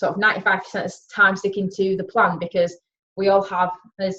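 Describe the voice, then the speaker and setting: The voice has a Yorkshire accent and a bright, sharp tone. The pace is fairly quick. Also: woman. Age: 20s. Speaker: wellness coach. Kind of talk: webinar talk.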